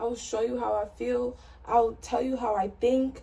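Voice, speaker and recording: At a moderate pace, a woman talks with noticeable background noise behind her. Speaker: lifestyle vlogger. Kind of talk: personal vlog monologue. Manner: soft-spoken; casual, filler-heavy.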